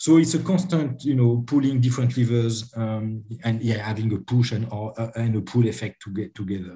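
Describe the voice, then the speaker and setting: A man with a French accent speaks at a moderate pace in a dark, mellow, somewhat breathy voice of medium pitch, with ordinary pitch variation and hardly any pauses. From France. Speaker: HR and sales enablement executive. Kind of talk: interview.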